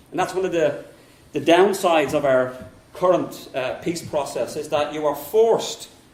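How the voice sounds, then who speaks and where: A man with a strong Dublin accent talks at a moderate pace, his pitch fairly high with ordinary variation. There is audible room echo and noticeable background noise. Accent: thick Dublin. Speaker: politics professor and local councillor. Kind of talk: conference talk.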